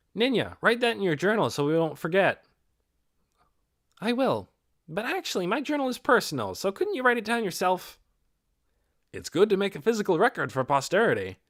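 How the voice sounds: A man does a put-on character voice at a high pitch, with very wide pitch swings and a moderate pace. Long pauses come often, and the recording is very clean with a silent background.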